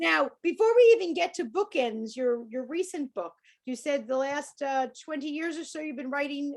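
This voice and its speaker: With a New York accent, a woman talks at a moderate pace in a high pitch with lively intonation. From US, New York. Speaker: interview host. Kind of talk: interview.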